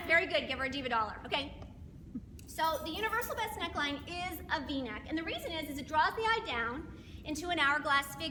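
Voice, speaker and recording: In a room with audible echo, a woman speaks fairly quickly in a raised, projected voice at an extremely high pitch, with lively intonation and an animated tone. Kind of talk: sales presentation.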